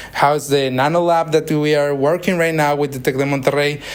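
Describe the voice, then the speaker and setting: A man with a Spanish accent talks in a fairly high pitch with monotone, flat intonation. Noticeable background noise sits behind him. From Mexico. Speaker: interviewer, engineering student visitor. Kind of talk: casual interview. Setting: university lab. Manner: halting, hesitant.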